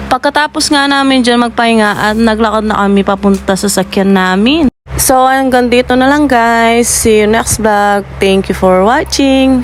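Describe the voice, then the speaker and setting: Over music in the background, a woman with a fairly high pitch speaks at a moderate pace, hardly pausing at all. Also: ordinary pitch variation, very even loudness. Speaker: vlogger. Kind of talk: voice-over vlog narration. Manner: casual, playful.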